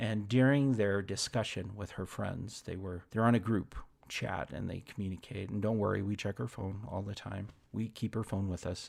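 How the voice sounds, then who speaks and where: Speaking at a moderate pace, a man with a fairly low pitch and ordinary pitch variation comes through on a very clean recording with a silent background. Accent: American. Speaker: parenting coach. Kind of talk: podcast monologue.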